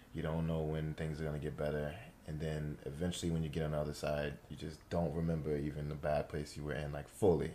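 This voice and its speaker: A man with an American accent, very deep and low in pitch, dark and mellow in tone, monotone and flat, at a very fast pace. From New York. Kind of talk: casual chat.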